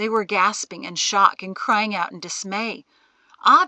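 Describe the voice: Intonation stays fairly even during this plain reading aloud.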